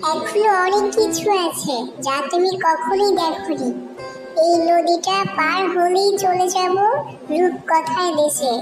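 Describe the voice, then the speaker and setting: A cartoonish character voice at an extremely high pitch, delivered at a fairly slow pace with clear music in the background. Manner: warm, chatty.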